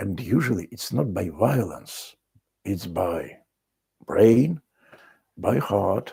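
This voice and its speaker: A man with a Russian accent, fairly low in pitch and very slow, with vocal fry, a dark, mellow tone, long, frequent pauses and very wide pitch swings. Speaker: video blogger. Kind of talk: solo monologue. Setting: country house.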